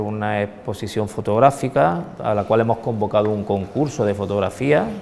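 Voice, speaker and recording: A man's fairly low voice over light background noise. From Andalusia, Spain. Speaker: leader of a religious brotherhood. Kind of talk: interview. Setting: inside a church. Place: church. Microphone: lapel.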